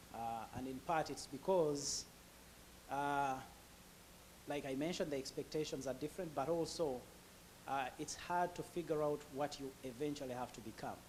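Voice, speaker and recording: A man with a Ugandan accent, fairly high-pitched, at a moderate pace, fairly even intonation and long, frequent pauses. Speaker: immigrant professional sharing his story. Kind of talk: interview testimony. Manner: halting, many fillers.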